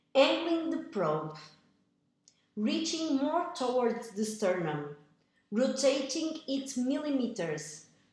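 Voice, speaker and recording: A woman with a high pitch speaks at a very slow pace amid audible room echo. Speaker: echocardiographer. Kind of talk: tutorial.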